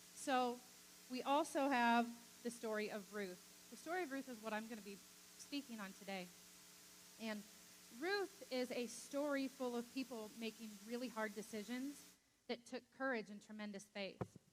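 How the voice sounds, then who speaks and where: Against noticeable background noise, a woman with a fairly high pitch speaks with long, frequent pauses and ordinary pitch variation. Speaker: preacher. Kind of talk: sermon. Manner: fast.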